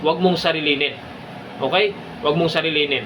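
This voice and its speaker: Audible room echo and noticeable background noise surround a man speaking at a fairly high pitch with fairly even intonation. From Philippines, province. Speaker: security guard vlogger. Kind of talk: casual advice vlog.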